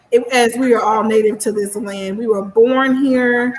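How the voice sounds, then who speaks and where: With a Missouri accent, a woman speaks in an animated tone at a high pitch and a moderate pace, with noticeable background noise. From US Midwest, Kansas City, Missouri. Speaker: book club discussion leader. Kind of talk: casual discussion.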